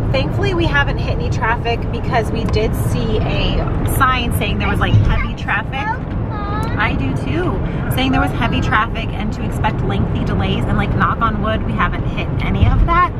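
A woman's voice with music in the background and a dry sound with no echo. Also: moderate pace. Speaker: parent vlogger. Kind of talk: casual vlog chat. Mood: upbeat, chatty. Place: car. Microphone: phone near.

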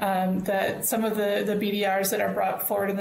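A woman's voice comes through light background noise and audible room echo. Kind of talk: meeting opening remarks. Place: home room. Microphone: earbuds.

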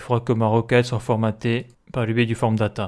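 Very clean recording of a man's voice, the background silent. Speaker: programming tutorial creator. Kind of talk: screen-recorded coding tutorial. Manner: hesitant, many fillers.

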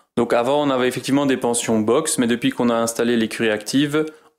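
This man's voice sits at a medium pitch and moves at a moderate pace. His intonation stays monotone and flat. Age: 30s. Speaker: horse stable manager and farmer. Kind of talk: interview. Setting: on location at stable. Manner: halting.

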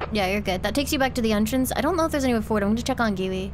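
Audible room echo and noticeable background noise accompany a woman's voice. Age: 20s. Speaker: vtuber streamer. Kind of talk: live gaming stream chat. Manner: fast.

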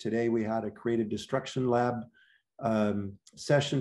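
A man speaks with an American accent and a dark, mellow tone. The background is quiet. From Wisconsin. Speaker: university school director. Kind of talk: presentation. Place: home room. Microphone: video call.

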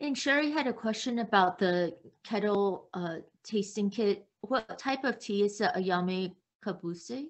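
A woman speaks at a fairly slow pace against a quiet background. She has an ordinary speaking voice, medium in pitch, with lively intonation. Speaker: event moderator. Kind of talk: moderating Q&A. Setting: video call. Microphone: video call.

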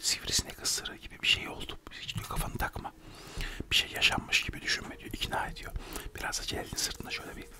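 A soft-spoken man whispers at a very fast pace, his loudness swinging widely, over noticeable background noise. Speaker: storyteller. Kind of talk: casual comic storytelling. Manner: close, soft ASMR whisper storytelling. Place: home room. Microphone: studio mic.

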